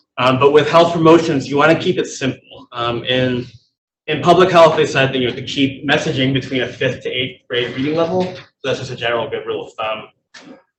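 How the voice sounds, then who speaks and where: A man talks at a fairly quick pace, somewhat breathy. His pitch is fairly high, with ordinary variation. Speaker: public health presenter. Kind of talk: presentation at a meeting.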